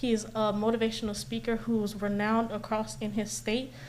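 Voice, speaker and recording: A woman speaks in a fairly high voice. Audible room echo surrounds her. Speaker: community event organizer presenting to city commission. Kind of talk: public presentation at council meeting. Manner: fast.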